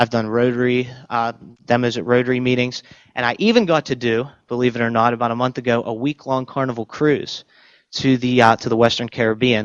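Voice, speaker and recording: Here a man talks at a fairly quick pace. His intonation is monotone and flat. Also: medium pitch for a man. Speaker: chef and cookbook author. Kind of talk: presentation to an audience. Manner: talkative, rambling.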